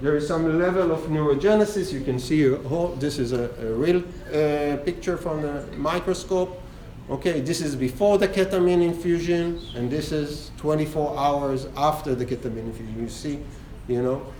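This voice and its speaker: A fairly high-pitched man in audible room echo. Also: ordinary pitch variation, moderate pace. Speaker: lecturer on trauma therapy research. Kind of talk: lecture.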